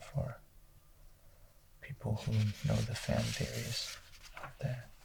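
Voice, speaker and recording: The speaker is soft-spoken and whispering. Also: man. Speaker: ASMR creator. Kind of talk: book review, ASMR. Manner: soft-spoken, whispered.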